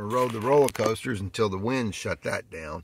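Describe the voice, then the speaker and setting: A man speaks over light background noise, and the sound is dry with no echo. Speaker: road-trip vlogger. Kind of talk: casual vlog chat. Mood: relaxed, cheerful. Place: car. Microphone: phone near.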